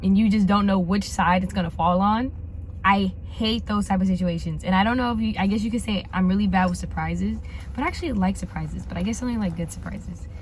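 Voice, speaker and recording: In a room with audible echo, a woman talks at a very fast pace. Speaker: lifestyle vlogger. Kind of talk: casual vlog chat.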